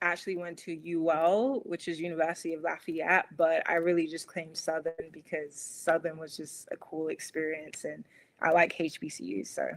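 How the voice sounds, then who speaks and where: A woman's fairly low voice in an American accent, with big swings in loudness. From London, England. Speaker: small business owner. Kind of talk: interview. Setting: podcast stream.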